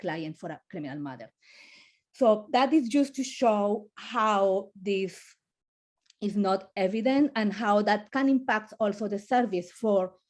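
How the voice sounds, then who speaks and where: This woman speaks in a Colombian accent at medium pitch. Her intonation is lively. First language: Spanish. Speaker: family lawyer. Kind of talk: webinar panel talk. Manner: halting, many repetitions.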